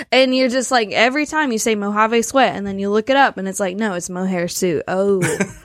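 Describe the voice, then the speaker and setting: An American accent with hardly any pauses, ordinary pitch variation and noticeable background noise. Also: woman, fairly high pitch for a woman. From US South. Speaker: podcast co-host. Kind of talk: casual chat.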